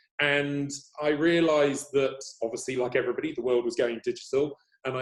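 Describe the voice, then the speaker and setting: A man with an English accent at a medium pitch, fairly even in intonation and fairly quick in pace. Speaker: agency CEO. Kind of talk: interview.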